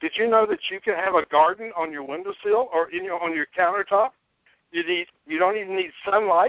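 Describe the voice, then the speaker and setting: A man talks fairly quickly at a high pitch with ordinary pitch variation. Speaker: preparedness author. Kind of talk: interview. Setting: radio interview. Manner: animated.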